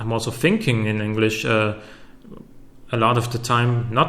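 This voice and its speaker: A man in a German accent at medium pitch and a fairly slow pace, with audible room echo. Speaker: YouTuber. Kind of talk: Q&A video. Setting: home recording with facecam. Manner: halting, many fillers and repetitions.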